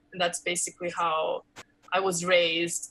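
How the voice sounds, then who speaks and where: A woman speaks with a Los Angeles accent. Her pace is fairly slow. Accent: American English, Los Angeles. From Los Angeles, California (Koreatown), part of childhood in Korea. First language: Korean. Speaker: actress and comedian. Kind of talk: interview conversation. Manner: casual, with many fillers.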